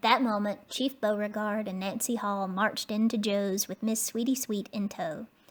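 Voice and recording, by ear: The text is read aloud in a natural voice, and the intonation remains fairly even.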